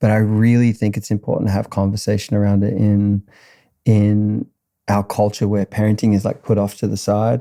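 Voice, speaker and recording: Speaking at a moderate pace in an Australian accent, a man with a fairly low pitch has a dark, mellow tone, recorded very cleanly against a silent background with a dry, close sound and no echo. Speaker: musician. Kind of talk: casual chat.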